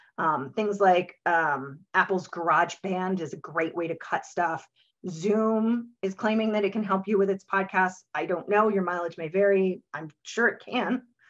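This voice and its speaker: Speaking at a fairly slow pace with hardly any pauses, a woman keeps a medium pitch and ordinary pitch variation. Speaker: podcaster and webinar speaker. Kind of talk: webinar talk. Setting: webinar. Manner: many vocalized pauses.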